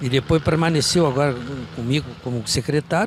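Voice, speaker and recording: This man's voice is somewhat breathy and sits at a medium pitch. He talks at a moderate pace. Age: 80s+. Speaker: veteran local politician. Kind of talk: interview. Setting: outdoors in the street.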